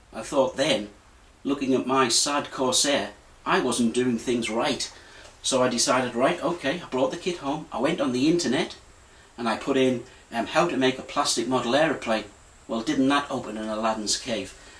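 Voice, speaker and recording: Noticeable background noise accompanies a man's voice. He speaks at a moderate pace with ordinary pitch variation. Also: medium pitch for a man. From northeast England, County Durham. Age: 50s. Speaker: hobbyist model builder. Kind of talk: casual personal story. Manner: hesitant, many ums.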